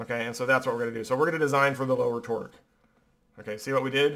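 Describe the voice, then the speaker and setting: A man talks with ordinary pitch variation. His pitch sits fairly high. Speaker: engineering professor. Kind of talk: lecture. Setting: classroom. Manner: fast.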